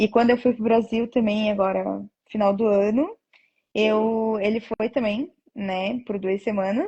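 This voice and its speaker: Somewhat breathy delivery marks this voice. Its tone comes across as dark and mellow. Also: woman. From Brazil. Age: 20s. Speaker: nurse. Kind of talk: interview.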